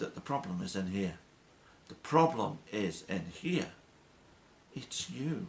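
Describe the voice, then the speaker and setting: A man with a British accent talks at a very slow pace, leaving long, frequent pauses. His fairly high voice has vocal fry and very wide pitch swings. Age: 60s. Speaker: weight-loss vlogger. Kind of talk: motivational monologue.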